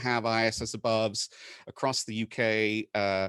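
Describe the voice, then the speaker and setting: A man's voice with an American accent, dry and close with no echo. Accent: British with an American twang. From UK. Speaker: conference presenter, maker of a space station tracker. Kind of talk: conference talk. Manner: halting, many fillers.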